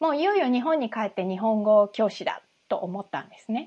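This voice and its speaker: A woman's voice at a moderate pace, with very wide swings in pitch. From Japan. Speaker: English coach. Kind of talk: casual chat.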